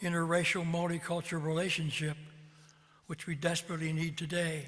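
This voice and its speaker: A man with a Midwestern US accent talks at a moderate pace. His pitch is high. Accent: US Midwest. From Ohio (Columbus). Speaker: retired clergyman. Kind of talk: personal testimony. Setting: video call.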